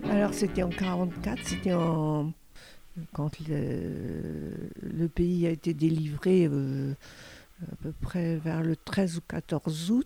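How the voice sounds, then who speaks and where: A woman speaks very slowly in a very deep, low voice with ordinary pitch variation. Music plays in the background. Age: 80s+. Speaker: grandmother telling her memories. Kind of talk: personal testimony. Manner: halting, with hesitations.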